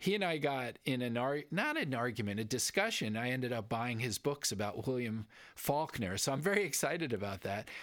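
A man with an ordinary speaking voice talks at a fairly quick pace, medium in pitch with lively intonation. The recording is very clean, with a silent background. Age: 60s. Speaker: podcast co-host. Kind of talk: casual chat.

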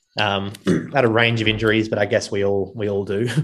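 An Australian-accented man at medium pitch, talking at a fairly quick clip. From Gold Coast, Australia. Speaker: running coach and business founder. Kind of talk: casual chat.

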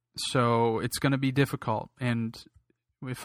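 This man speaks. His intonation is monotone and flat. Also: very clean recording, silent background. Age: 20s. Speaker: political podcaster. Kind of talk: political commentary monologue. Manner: frequent filler words.

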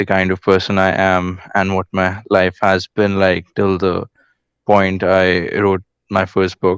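Over a quiet background, a man with an Indian accent talks at a very slow pace. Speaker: caller, business student. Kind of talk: casual chat. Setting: remote call-in.

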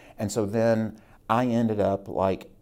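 A man with an American accent speaks in a dark, mellow tone. The recording is very clean, with a silent background. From Virginia, Rockbridge County (Shenandoah Valley). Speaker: state legislator. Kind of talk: interview.

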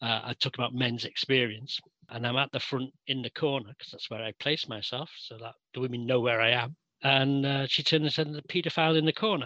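A man with a Mancunian accent speaks at a medium pitch and a fairly quick pace, his tone bright and sharp. His pitch variation is ordinary, his loudness swings widely, and the sound is dry and close with no echo. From Manchester, England. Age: 60s. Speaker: interviewee. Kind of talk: interview. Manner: halting.

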